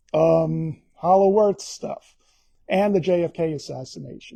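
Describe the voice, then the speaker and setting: With a Bronx accent, a man speaks at a fairly slow pace in a dark, mellow tone with lively intonation. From New York, the Bronx. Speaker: author. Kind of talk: book talk via live stream. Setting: live stream. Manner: casual, conversational.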